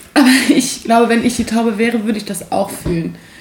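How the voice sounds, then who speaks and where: Noticeable background noise behind a fairly high female voice. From Aachen, western Germany. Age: 20s. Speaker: podcast guest. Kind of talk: casual chat.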